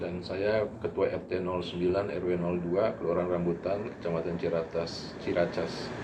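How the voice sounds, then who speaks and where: Over noticeable background noise, a man with a very deep, low pitch talks in a monotone, flat intonation with hardly any pauses. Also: moderate pace. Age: 60s. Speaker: neighbourhood head. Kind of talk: interview. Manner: halting.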